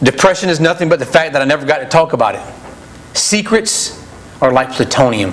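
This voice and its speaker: Lively intonation at a moderate pace. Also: man. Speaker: preacher. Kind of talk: sermon. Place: church.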